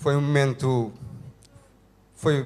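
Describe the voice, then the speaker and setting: This is a man speaking at a medium pitch. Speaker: couple telling their life story. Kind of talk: testimony. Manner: halting, many fillers.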